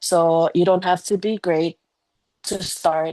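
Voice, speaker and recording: In a non-native accent, a woman speaks at a very slow pace with a fairly low pitch, a dark, mellow tone and fairly even intonation, the sound dry and close with no echo. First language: not English. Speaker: business team leader. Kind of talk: motivational talk on video call. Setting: Zoom video call.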